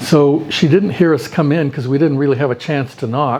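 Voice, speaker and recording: A man speaks at a moderate pace with an American accent and a fairly high pitch. Noticeable background noise sits behind him. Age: 70s. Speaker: retired pediatrician. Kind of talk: personal storytelling interview.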